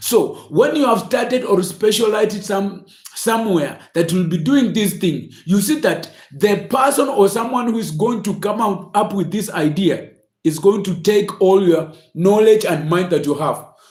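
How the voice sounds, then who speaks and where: Recorded with audible room echo and noticeable background noise, a man speaks. His pitch is high with ordinary variation. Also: moderate pace. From Kenya. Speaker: motivational speaker. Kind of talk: inspirational talk. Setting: livestream. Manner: halting.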